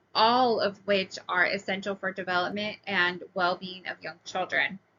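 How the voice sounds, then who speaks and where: A woman talks at a moderate pace and medium pitch, her intonation monotone and flat. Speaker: preschool teacher. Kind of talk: recorded class presentation. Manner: hesitant, many fillers.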